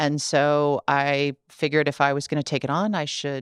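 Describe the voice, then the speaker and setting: The speaker has a Midwestern American accent, heard in a very clean recording with a silent background and a dry, close sound with no echo. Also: woman. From US Midwest, Ohio. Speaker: tech company accessibility executive. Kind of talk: podcast interview. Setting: studio.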